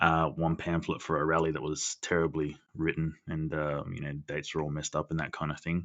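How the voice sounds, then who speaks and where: With an Australian accent, a man speaks in a very deep, low voice, monotone and flat, with hardly any pauses. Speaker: podcast co-host. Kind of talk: casual chat. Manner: loud.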